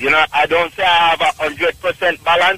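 A man with a Jamaican accent and a fairly high pitch, over noticeable background noise. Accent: Jamaican Patois-inflected English. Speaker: caller. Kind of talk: testimony. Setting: phone call.

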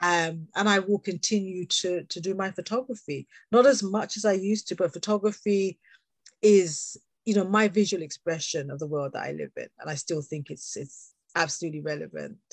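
Her pace is fairly quick, with a medium pitch and ordinary pitch variation. The woman's loudness swings widely in a dry, close recording with no echo. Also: quiet background. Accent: British. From England, UK. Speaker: education consultant, teacher trainer and author. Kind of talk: casual interview chat.

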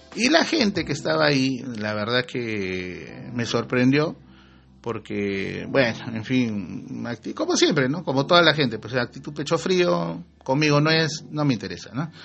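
Animated in tone, a man speaks at a medium pitch and a fairly slow pace, with very wide pitch swings. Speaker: podcast host. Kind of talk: casual monologue.

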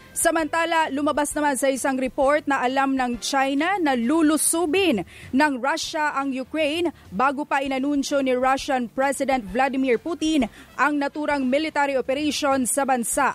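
Speech moves at a moderate pace with very even loudness throughout. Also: woman, high pitch for a woman, ordinary pitch variation. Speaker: radio news anchor. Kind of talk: news reading.

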